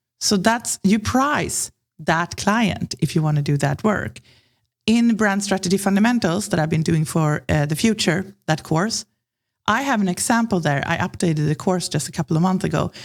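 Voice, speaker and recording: This woman speaks with a Swedish accent, keeping her loudness very even. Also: medium pitch for a woman, moderate pace. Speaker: branding consultant. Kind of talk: podcast interview.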